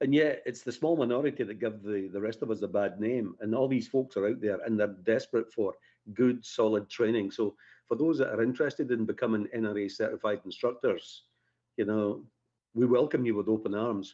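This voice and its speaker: At a fairly quick pace, a man speaks in a medium pitch with a dark, mellow tone and fairly even intonation against a quiet background. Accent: Scottish. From Scotland, Edinburgh area. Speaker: firearms instructor. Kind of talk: radio interview.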